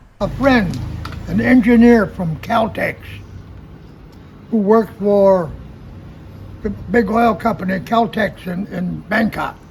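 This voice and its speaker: Against noticeable background noise, a man with a high pitch speaks at a very slow pace, using ordinary pitch variation and long, frequent pauses. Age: 80s+. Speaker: military veteran and expat. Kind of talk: interview, casual storytelling. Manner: halting.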